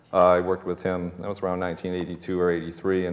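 With a Boston accent, a man speaks in a very deep, low voice using monotone, flat intonation. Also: moderate pace. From grew up near Boston, Massachusetts. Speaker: chef and restaurant owner on a panel. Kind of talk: panel discussion anecdote. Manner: conversational storyteller. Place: stage.

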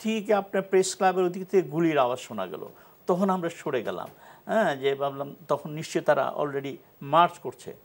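A man's high-pitched speech carries ordinary pitch variation. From Bangladesh. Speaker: former ambassador and politician; talk show guest. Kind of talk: talk show discussion. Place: studio. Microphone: lapel.

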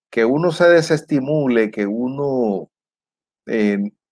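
Over a quiet background, someone speaks at a very slow pace with lively intonation. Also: man. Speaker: political commentator. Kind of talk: commentary. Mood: frustrated, critical. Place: home room. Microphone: lapel.

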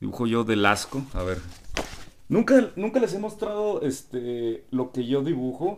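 Speaking with a Mexican accent, this voice moves through very wide pitch swings. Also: man. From Mexico. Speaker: gaming youtuber. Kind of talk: casual vlog. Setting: convention hall. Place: home room.

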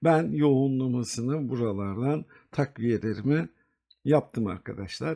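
Against a quiet background, a man with a dark, mellow tone speaks at medium pitch and a fairly slow pace, using lively intonation. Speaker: investment video host. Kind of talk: market analysis tutorial. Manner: hesitant fillers.

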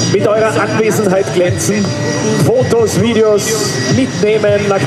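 Loud background noise surrounds this recording. A man speaks with ordinary pitch variation. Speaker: airshow announcer. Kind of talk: event commentary. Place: open country. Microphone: pa.

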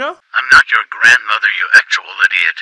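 A man puts on a character voice. It is raspy and moves at a moderate pace. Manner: irritated.

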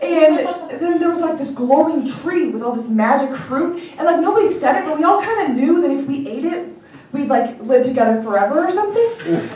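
A high-pitched woman talks at a fairly quick pace with lively intonation and an animated, playful tone. Light background noise and audible room echo are present. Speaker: stand-up comedian. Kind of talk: stand-up comedy set. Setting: stage with audience. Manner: animated, playful, acting out dialogue. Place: stage.

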